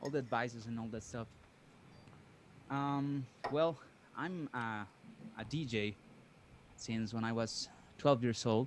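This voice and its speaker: A man with a Spanish accent speaks fairly slowly, leaving long, frequent pauses, with ordinary pitch variation. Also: medium pitch for a man. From Mexico. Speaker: DJ and music producer, caller. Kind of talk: call-in question. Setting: Zoom call. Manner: halting.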